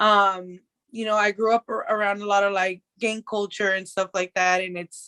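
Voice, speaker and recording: A woman's voice comes across with a bright, sharp tone. The sound is dry and close with no echo, in a very clean recording with a silent background. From San Diego and Tijuana border area. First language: Spanish. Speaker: rapper. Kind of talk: casual interview.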